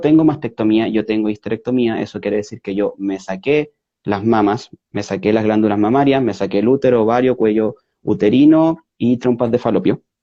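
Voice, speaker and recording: A man speaks at a moderate pace with a Chilean accent and lively intonation. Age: 30s. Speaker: interview guest. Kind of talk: interview. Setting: online video call. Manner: halting, many fillers and self-corrections.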